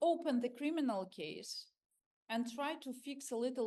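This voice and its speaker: Here a woman speaks with a Ukrainian accent. Her pace is fairly slow. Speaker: civil society activist. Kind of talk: panel discussion. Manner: halting.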